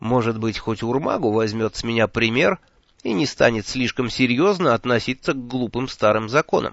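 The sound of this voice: The voice reads in an unforced way. Its intonation stays fairly even.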